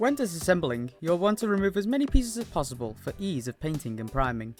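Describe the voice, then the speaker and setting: Music plays in the background as the speaker rushes along at a very fast pace. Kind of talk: tutorial voice-over. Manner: occasionally mumbled.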